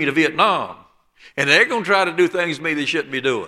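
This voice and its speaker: Bright and sharp in tone, a man's high-pitched voice shows ordinary pitch variation. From southeast Alabama, US South. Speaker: preacher. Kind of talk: sermon.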